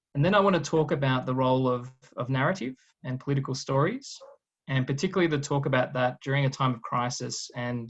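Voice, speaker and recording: A man talks with an Australian accent. His voice sits at a medium pitch. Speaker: guest lecturer, political scientist. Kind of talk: lecture.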